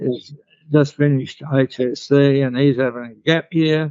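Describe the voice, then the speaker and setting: Here a man speaks with an Australian accent. His pitch is medium and his intonation fairly even. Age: 90s. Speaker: bodywork therapy teacher. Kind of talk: interview.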